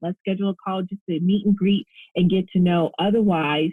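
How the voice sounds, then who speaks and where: The speaker is somewhat breathy, talking at a fairly quick pace with fairly even intonation. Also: woman. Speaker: relationship coach. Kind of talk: casual interview chat. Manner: fast.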